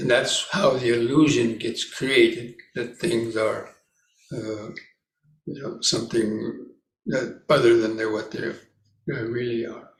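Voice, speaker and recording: Speaking at a fairly slow pace, a man sounds somewhat breathy, and audible room echo surrounds him. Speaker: Buddhist monk, meditation teacher. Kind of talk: dharma talk at meditation retreat.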